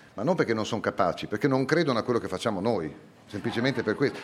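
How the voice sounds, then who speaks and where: With lively intonation, a man is talking. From Italy, Bologna. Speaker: neurophysiology professor. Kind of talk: live public talk. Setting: stage with audience.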